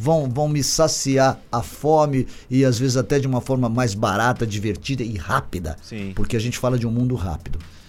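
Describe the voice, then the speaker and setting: A man's medium-pitched voice with lively intonation, at a moderate pace, with hardly any pauses and music in the background. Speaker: innovation hub CEO, engineer. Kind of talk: casual interview chat.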